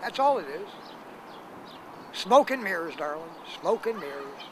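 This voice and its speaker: With noticeable background noise behind him, a man speaks in a high voice with lively intonation. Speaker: homeless man. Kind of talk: street interview. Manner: hesitant, many filler sounds.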